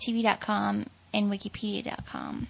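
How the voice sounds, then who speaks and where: This woman talks very slowly in a Southern US accent. Her voice is fairly high, with a bright, sharp tone. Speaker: podcast host. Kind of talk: casual chat.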